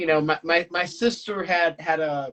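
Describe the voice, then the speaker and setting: A man speaks with an American accent. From Pittsburgh, Pennsylvania, US. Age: 30s. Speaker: singer-songwriter. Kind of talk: casual interview chat. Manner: halting, many repetitions and fillers.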